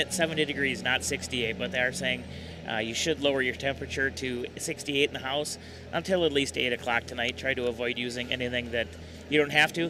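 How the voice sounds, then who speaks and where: A man at a very fast pace, fairly high in pitch, with music in the background. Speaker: sports radio broadcaster. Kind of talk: live game broadcast banter. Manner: animated.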